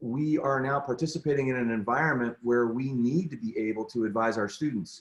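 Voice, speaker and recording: The speaker has an unremarkable speaking voice with ordinary pitch variation, going at a fairly quick pace with hardly any pauses. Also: man, medium pitch for a man. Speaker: teacher leading professional development. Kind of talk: presentation on a video call; guided meditation. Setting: video call.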